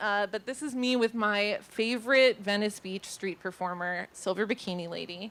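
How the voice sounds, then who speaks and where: A woman with a Californian accent speaks at a moderate pace in a medium pitch, with ordinary pitch variation and hardly any pauses. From Los Angeles, San Fernando Valley. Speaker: artist. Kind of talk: presentation. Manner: casual, filler-heavy.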